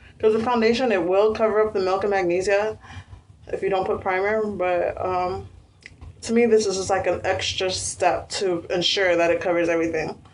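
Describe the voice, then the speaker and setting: With noticeable background noise behind her, a woman speaks at a moderate pace. Her medium-pitched voice keeps a fairly even intonation. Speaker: beauty vlogger. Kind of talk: tutorial. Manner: casual with many fillers.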